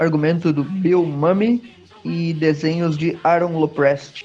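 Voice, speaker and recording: A man talks very slowly in a high voice with fairly even intonation while noticeable noise sits in the background. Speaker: comic book podcast host. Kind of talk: casual chat.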